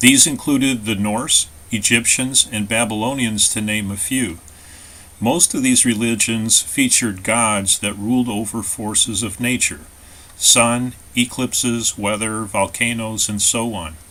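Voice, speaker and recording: A man with an American accent talks fairly slowly at a medium pitch, with fairly even intonation. He has an unremarkable speaking voice. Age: 60s. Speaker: author. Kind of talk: scripted narration.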